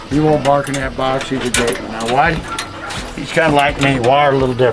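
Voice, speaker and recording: A man's medium-pitched voice at a fairly quick pace with fairly even intonation, amid noticeable background noise and audible room echo. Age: 60s. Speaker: coonhound breeder and hunter. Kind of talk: casual chat.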